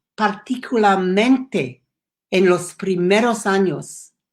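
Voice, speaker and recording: A woman with an English accent, very slow pace and lively intonation in a very clean recording with a silent background. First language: English (speaking Spanish). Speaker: education program founder. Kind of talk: prepared speech. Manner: halting.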